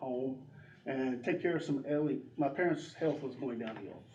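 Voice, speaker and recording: With a North Carolina accent, the speaker talks at a moderate pace with fairly even intonation, amid noticeable background noise and audible room echo. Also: man. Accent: Southern US (North Carolina). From US South, North Carolina (Drexel). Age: 60s. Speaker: election candidate. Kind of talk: candidate forum speech. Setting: community room with audience.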